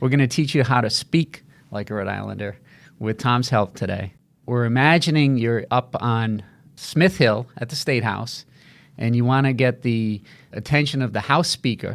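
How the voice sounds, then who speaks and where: Recorded very cleanly with a silent background, a man with an unremarkable speaking voice speaks at a medium pitch and moderate pace, with ordinary pitch variation. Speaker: podcast host. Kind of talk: interview conversation.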